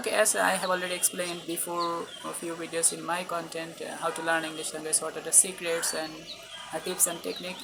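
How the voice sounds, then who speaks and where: Noticeable background noise runs under speech delivered fairly quickly. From Bangladesh. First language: Bengali. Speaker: English teacher, student. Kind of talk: video lecture to camera. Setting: recording to camera.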